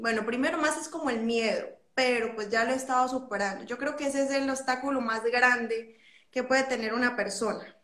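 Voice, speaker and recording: A woman's high-pitched voice with fairly even intonation, audible room echo and noticeable background noise. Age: 20s. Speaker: psychologist and singer. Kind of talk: interview.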